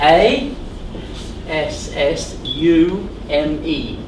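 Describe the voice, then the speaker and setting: Lively intonation in an English accent, with audible room echo and noticeable background noise. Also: man. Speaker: trainer of driving instructors. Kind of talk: classroom lecture. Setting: classroom with trainees.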